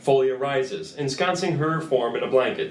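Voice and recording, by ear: With audible room echo around him, a man speaks at a medium pitch with lively intonation. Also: moderate pace.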